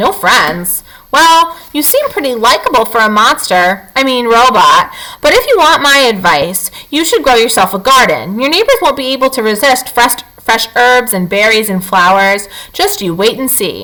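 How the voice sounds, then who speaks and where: Putting on a gruff character voice, a woman speaks at a high pitch and a moderate pace, with very wide pitch swings. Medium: read story. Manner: gruff, grumbling.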